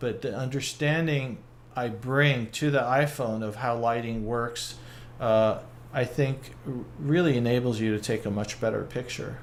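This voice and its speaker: With audible room echo around him, a man of medium pitch talks at a moderate pace with fairly even intonation. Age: 60s. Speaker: photographer. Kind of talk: casual chat.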